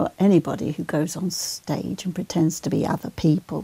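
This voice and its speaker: A woman speaks at a fairly low pitch with vocal fry and a dark, mellow tone. The sound is dry and close, with no echo. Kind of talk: interview answer.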